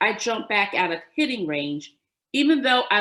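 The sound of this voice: The background is quiet while someone reads in an unforced reading voice.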